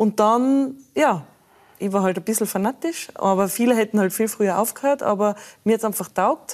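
An unremarkable speaking voice, with ordinary pitch variation and a moderate pace. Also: woman, fairly high pitch for a woman. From Austria, Tyrol (Innsbruck). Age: 40s. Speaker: former pro beach volleyball player, mentor. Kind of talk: talk show interview.

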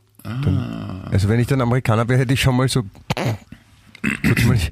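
A man at medium pitch and a moderate pace, with ordinary pitch variation, very even loudness and noticeable background noise. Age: 50s. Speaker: podcast co-host. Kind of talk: casual chat.

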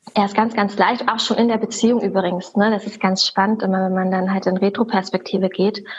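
A woman with a medium pitch talks at a fairly quick pace in a monotone, flat intonation. Noticeable background noise is present. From Germany, Berlin. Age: 30s. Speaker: religion teacher. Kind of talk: interview.

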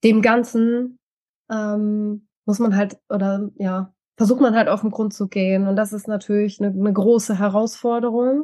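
A woman's fairly high-pitched voice with a dark, mellow tone, monotone and flat in intonation, at a fairly slow pace. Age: 40s. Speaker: mentor and coach. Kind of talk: interview testimony. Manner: hesitant, many fillers.

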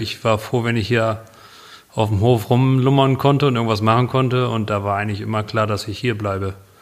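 A man speaks at a moderate pace in a medium pitch. His intonation is flat and monotone. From northern Germany, near Bremen. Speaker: show jumping rider. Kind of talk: interview.

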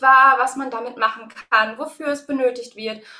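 The voice is raised and projected, with a bright, sharp tone and a moderate pace. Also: woman. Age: 30s. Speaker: early childhood educator. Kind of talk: interview.

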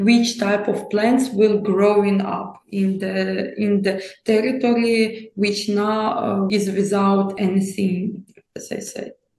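At a very slow pace, a woman with a Ukrainian accent speaks in a medium pitch with monotone, flat intonation. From Ukraine. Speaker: nature conservationist. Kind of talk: interview. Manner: halting, many hesitations.

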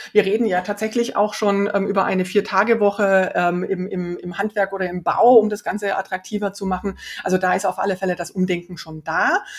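Noticeable background noise runs behind a woman speaking at a fairly quick pace. Her medium-pitched voice is monotone and flat. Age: 40s. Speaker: startup founder and CEO. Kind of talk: interview. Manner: many fillers and hesitations.

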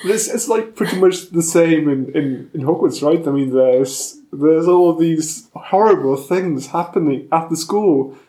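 With a German accent, a man talks at a high pitch and fairly slow pace, using ordinary pitch variation and hardly any pauses. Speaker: podcast host, student. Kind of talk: casual chat; scripted outro.

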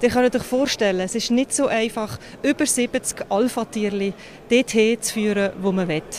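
Noticeable background noise sits behind a woman speaking at a moderate pace in a fairly high voice with ordinary pitch variation. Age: 40s. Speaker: politician. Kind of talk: interview. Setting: on location at an industrial site.

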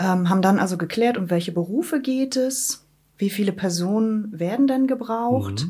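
Her intonation is lively and her pace moderate. This woman's voice sits at a medium pitch and sounds somewhat breathy. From Wismar, Mecklenburg-Vorpommern, northern Germany. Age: 30s. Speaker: head of a migration advice office. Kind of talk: interview. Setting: office.

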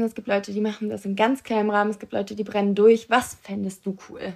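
A woman's fairly high, normal speaking voice at a fairly quick pace. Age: 19. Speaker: podcast co-host. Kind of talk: casual chat. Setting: train station.

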